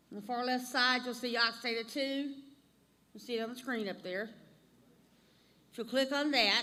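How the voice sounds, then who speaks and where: A woman with an Alabama accent at a high pitch, moderate pace and fairly even intonation, with big swings in loudness and long, frequent pauses. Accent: Southern US (Alabama). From US South, North Alabama. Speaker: instructor. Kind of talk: tutorial.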